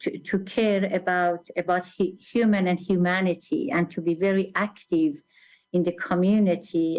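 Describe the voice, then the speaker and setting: Speaking with an Iranian accent, a woman at medium pitch talks at a fairly slow pace with ordinary pitch variation. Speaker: attorney and activist. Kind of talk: interview. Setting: live-streamed show.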